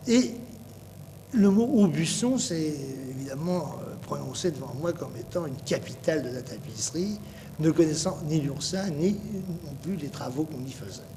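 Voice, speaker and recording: Loudness swings widely as the speaker goes at a fairly slow pace. Room echo and noticeable background noise are audible. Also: man, lively intonation. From Paris, France. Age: 60s. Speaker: painter and tapestry designer. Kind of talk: interview. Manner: halting, many hesitations.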